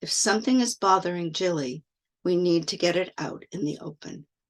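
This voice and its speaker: This put-on character voice sounds female and raspy, set at a middle pitch and a moderate pace. The background is quiet. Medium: read story. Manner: firm, commanding.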